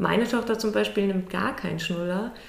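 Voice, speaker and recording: A woman speaks at a medium pitch. Room echo is audible, and there is noticeable background noise. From northern Germany, near Lübeck. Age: 30s. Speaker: architect and charity project founder. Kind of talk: interview. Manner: hesitant with many fillers.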